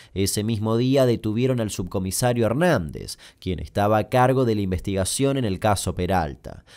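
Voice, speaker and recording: Over a very clean recording with a silent background, a man with a dark, mellow tone talks at a moderate pace in a medium pitch. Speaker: YouTube storyteller. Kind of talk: scripted narration.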